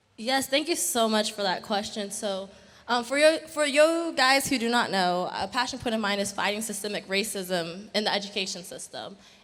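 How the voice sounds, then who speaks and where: Audible room echo surrounds a woman with a fairly high pitch, speaking at a moderate pace with lively intonation. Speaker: youth education activist. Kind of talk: panel discussion. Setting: stage with audience.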